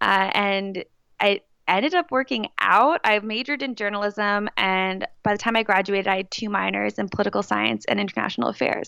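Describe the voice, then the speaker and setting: Recorded very clean with a silent background, a woman in a plain, everyday voice speaks at a moderate pace and a medium pitch. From New Jersey. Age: 20s. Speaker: teacher and former student journalist. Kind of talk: casual interview.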